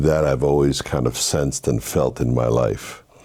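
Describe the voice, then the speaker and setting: Noticeable background noise sits behind a man talking. He keeps a moderate pace and ordinary pitch variation. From Haiti, raised in Brooklyn, New York. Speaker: minister. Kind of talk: interview testimony.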